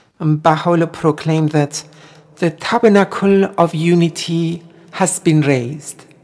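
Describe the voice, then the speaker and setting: A woman with a Persian accent speaks at a moderate pace in a fairly low voice, with very even loudness and fairly even intonation. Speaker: singer and Baha'i guest. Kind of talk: radio interview.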